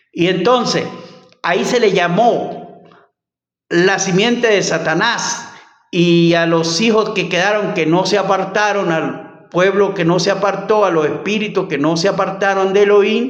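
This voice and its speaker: With audible room echo, a man speaks high-pitched at a fairly slow pace, with fairly even intonation and very even loudness. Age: 60s. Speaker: bible teacher. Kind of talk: bible study teaching. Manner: halting.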